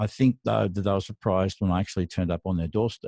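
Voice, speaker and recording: A man with an Australian accent speaks in a dark, mellow tone. The background is quiet. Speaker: mastering engineer and mentor. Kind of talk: solo podcast monologue. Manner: hesitant, with frequent fillers.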